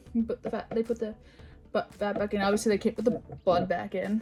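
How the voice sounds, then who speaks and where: Over music in the background, a woman with a fairly high pitch speaks in a monotone, flat intonation at a fairly quick pace. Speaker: YouTuber. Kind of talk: casual storytime vlog. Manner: fast; halting, many fillers and restarts.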